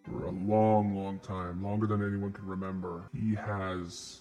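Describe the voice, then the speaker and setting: A man performs a put-on character voice with a fairly low pitch. Faint music plays in the background. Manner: grim, earnest, determined.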